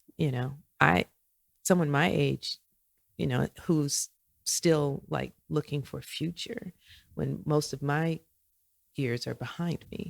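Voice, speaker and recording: A woman speaks at a fairly slow pace, her voice sounding dry and close with no echo. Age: 60s. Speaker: podcast guest, host's mother. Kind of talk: casual chat.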